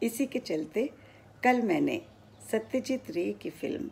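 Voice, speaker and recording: A woman talks with vocal fry and very wide swings in pitch. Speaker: retired radio broadcaster, former station director. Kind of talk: story narration. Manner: clear Hindi diction.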